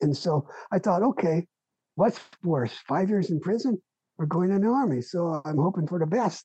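With an American accent, the speaker uses lively intonation at a moderate pace, broken by long, frequent pauses. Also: man. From US, East Los Angeles. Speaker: author and Vietnam veteran. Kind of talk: casual interview.

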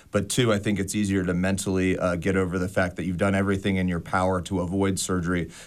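In a very clean recording with a silent background, a speaker with an American accent goes at a very fast pace with monotone, flat intonation and hardly any pauses. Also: man, very deep, low pitch for a man. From Las Vegas, Nevada. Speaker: orthopedic surgeon. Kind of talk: interview. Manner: halting, many fillers.

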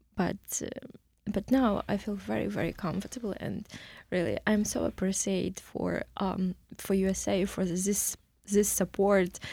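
Speaking at a fairly slow pace, a woman with medium pitch, a dark, mellow tone and vocal fry comes through on a very clean recording with a silent background. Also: fairly even intonation. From Ukraine, Kyiv. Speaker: refugee, case manager. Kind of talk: interview testimony. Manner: halting, many fillers.

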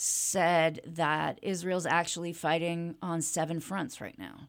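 The speaker takes a rather slow pace. There is no background sound, and the recording is very clean. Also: woman. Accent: American. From US Midwest (Kansas City) and Toronto. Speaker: rabbi. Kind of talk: interview. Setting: studio.

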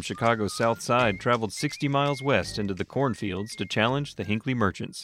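A plain, everyday voice, this man's is medium in pitch with ordinary pitch variation, going at a fairly quick pace with hardly any pauses. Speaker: radio host. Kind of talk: history radio narration, scripted. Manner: steady, clear, polished.

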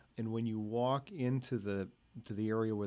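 A dark, mellow tone carries a fairly even intonation. The pace is moderate. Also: man. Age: 60s. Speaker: radio host. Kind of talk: radio interview. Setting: radio studio.

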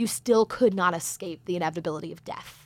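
A woman speaks at a fairly quick pace, her medium pitch showing ordinary variation. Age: 20s. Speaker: radio producer. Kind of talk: casual chat. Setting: studio.

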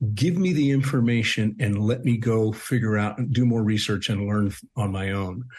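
A man speaks at a moderate pace with hardly any pauses, his medium-pitched voice somewhat breathy. His pitch varies in an ordinary way. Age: 60s. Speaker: bereaved father and nonprofit co-founder. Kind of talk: radio interview. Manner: halting, repeats words.

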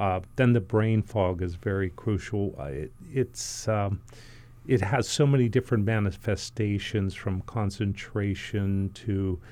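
Here a man talks at a fairly slow pace. His voice is fairly low in pitch, with a dark, mellow tone. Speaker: family medicine doctor. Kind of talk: radio interview. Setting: studio.

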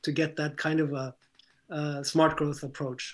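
Monotone, flat intonation from a man at a moderate pace. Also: quiet background. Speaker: planning nonprofit program director. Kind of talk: panel discussion. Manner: hesitant, frequent fillers.

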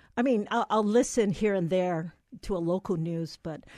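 In a plain, everyday voice, a woman at medium pitch speaks at a moderate pace, the sound dry and close with no echo and the background quiet. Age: 60s. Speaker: pediatrician. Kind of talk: interview. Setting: studio.

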